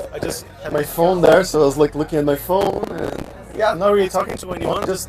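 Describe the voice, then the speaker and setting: Man's high-pitched voice at a moderate pace, ordinary pitch variation, noticeable background noise and audible room echo. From Brazil. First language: Portuguese. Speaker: language learning youtuber. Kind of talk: casual interview.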